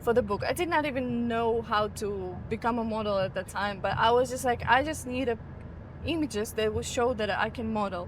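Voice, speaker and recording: In a Ukrainian accent, a woman with a fairly high voice and vocal fry speaks at a moderate pace with ordinary pitch variation. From Ukraine. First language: Ukrainian or Russian. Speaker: model and content creator. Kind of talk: casual interview. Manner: halting, searches for words.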